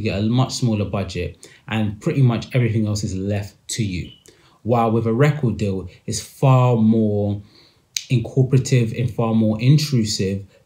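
A man with a British accent, somewhat breathy and dark, mellow in tone, at a moderate pace with ordinary pitch variation, in a quiet background. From UK. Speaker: podcast host discussing music industry. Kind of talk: solo commentary monologue. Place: home room. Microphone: phone near.

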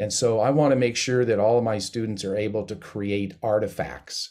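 Fairly low in pitch, a man with an ordinary speaking voice keeps fairly even intonation at a moderate pace on a very clean recording with a silent background. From Missoula, Montana. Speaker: percussion professor. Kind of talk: panel discussion.

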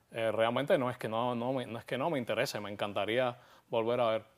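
A moderate pace in a Cuban accent. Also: man. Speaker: actor and playwright; actor. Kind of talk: interview. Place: studio. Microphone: lapel.

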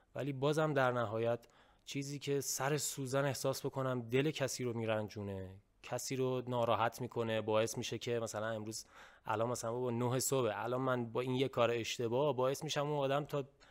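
The voice moves at a fairly quick pace with fairly even intonation against a quiet background. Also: man, medium pitch for a man. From Iran. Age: young. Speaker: YouTuber. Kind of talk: casual chat. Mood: earnest, reflective. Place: home room. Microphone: studio mic.

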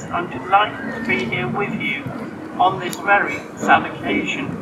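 There is noticeable background noise. The pace is fairly slow. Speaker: member of parliament. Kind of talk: rally speech. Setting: outdoors with PA microphone. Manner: plainspoken, emotional.

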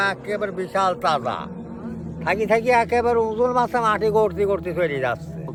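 Over noticeable background noise, a man speaks with a high pitch and lively intonation. His loudness stays very even. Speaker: elderly villager. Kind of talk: storytelling interview.

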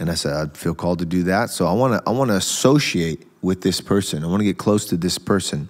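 The man's pitch is very deep and low, and he talks at a very fast pace with hardly any pauses. The background stays quiet. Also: ordinary pitch variation. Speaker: preacher and show host; preacher, show host. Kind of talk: religious interview discussion. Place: studio. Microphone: studio mic.

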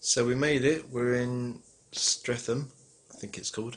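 A man speaks at a fairly slow pace with a medium pitch. His intonation stays fairly even.

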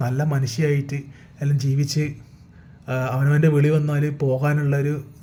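Breathiness comes through somewhat in this voice. The tone sounds dark and mellow. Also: man. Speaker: YouTuber. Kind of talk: opinion monologue. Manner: animated; halting.

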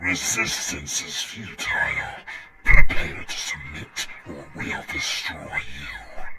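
A raspy, put-on character voice from a man, very slow, over clear background noise. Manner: menacing, threatening.

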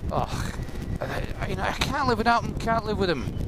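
A man's voice with a dry sound with no echo amid noticeable background noise. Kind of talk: casual vlog chat. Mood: humorous, chatty. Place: motorbike.

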